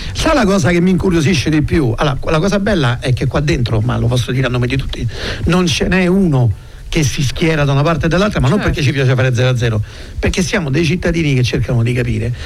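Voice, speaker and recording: Very fast and lively in intonation, a man speaks at a fairly high pitch with very even loudness. Audible room echo and noticeable background noise come through. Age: 50s. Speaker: radio host. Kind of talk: casual chat.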